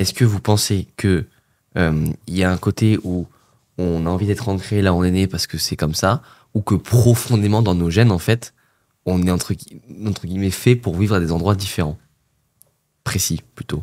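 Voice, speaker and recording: A man's very deep, low voice, dark and mellow in tone, at a moderate pace with fairly even intonation and long, frequent pauses. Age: late 20s. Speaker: podcast host. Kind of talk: casual interview. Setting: studio.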